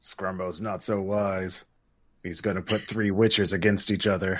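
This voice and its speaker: A man uses a put-on character voice, raspy and fairly low in pitch. He keeps a moderate pace and a monotone, flat intonation. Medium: actual play. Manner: dry, matter-of-fact.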